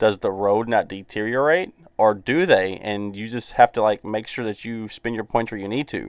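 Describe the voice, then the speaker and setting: Speaking with a Southern US accent at a fairly low pitch and a moderate pace, a man uses ordinary pitch variation and big swings in loudness, with hardly any pauses, on a very clean recording with a silent background. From US South. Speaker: gaming YouTuber. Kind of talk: casual video commentary. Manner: casual, filler-heavy.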